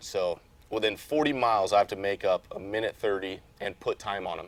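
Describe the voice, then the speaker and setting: Speaking at a fairly quick pace with an American accent, a man has a normal speaking voice with a fairly low pitch. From Las Vegas, Nevada. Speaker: off-road racing driver. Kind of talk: interview. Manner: casual.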